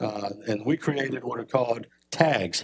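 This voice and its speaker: Using a plain, everyday voice, a man talks at a moderate pace with ordinary pitch variation. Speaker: police chief. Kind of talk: presentation to city council. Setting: council meeting chamber.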